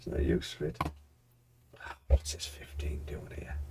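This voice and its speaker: With a somewhat breathy voice, a man talks at a moderate speed. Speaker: forex day trader streaming live. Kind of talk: live trading stream chat.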